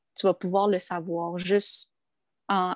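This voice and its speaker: A woman's fairly slow, monotone, flat delivery. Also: dry, close sound with no echo, very clean recording, silent background. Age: 20s. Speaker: social worker. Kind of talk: testimony.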